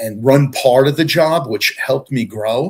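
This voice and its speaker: A man with an American accent speaks at a moderate pace in a somewhat breathy voice, recorded very cleanly against a silent background. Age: 60s. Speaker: retired deputy fire chief. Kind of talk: interview. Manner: halting, many fillers.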